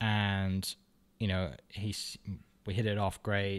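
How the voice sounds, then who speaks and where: On a very clean recording with a silent background, a man with a Welsh accent speaks at a very deep, low pitch in a monotone, flat intonation. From Wales, Bridgend. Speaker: realtor and podcaster. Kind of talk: casual interview chat.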